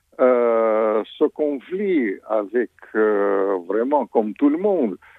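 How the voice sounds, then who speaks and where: Very slow, very evenly loud speech from a man in a Russian accent, medium in pitch with lively intonation. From Soviet Union, Ukrainian origin. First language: Russian (speaking French). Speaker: former diplomat and author. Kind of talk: radio interview. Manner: hesitant, many fillers.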